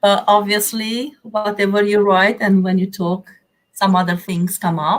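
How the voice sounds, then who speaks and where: A woman with a Romanian accent, medium pitch, fairly even intonation and a fairly slow pace. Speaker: therapeutic counselor and business coach. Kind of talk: interview.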